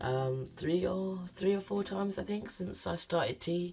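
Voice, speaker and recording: The voice is somewhat breathy with lively intonation. The pace is fairly slow. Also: man. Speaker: vlogger. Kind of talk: casual chat.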